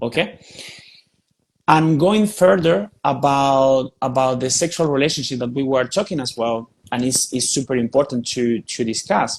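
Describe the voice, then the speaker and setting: A man with a Spanish accent talks at a medium pitch and a moderate pace, with ordinary pitch variation. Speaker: spiritual teacher. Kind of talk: podcast interview. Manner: repetitive, emphatic.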